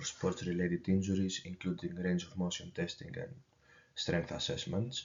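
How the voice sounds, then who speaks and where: This man has a Greek accent. His voice sits very deep and low. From Greece. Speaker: university student. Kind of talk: student presentation. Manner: halting.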